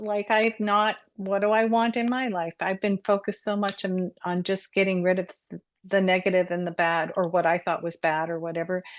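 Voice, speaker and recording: Against a quiet background, a woman with an ordinary speaking voice talks at a moderate pace, her medium pitch held in fairly even intonation. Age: 60s. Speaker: co-host and Reiki master. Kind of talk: casual chat.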